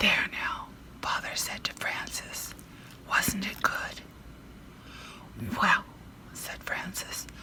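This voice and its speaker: The speech is whispered and very slow. Long, frequent pauses break it up, and noticeable background noise is audible. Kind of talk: ASMR bedtime story reading, whispered. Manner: whispered, soft.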